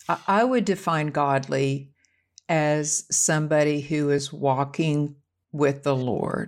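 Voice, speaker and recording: A woman's very deep, low voice at a very slow pace, very even in loudness, on a very clean recording with a silent background. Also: ordinary pitch variation. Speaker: motivational speaker. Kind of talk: casual podcast discussion.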